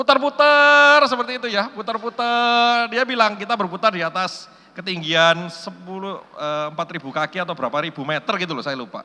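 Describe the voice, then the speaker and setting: A man speaks in a raised, projected voice at a high pitch and a fairly quick pace. His tone is animated, bright and sharp, with very wide pitch swings. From Indonesia, Surabaya (East Java). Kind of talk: sermon. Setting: church hall with audience.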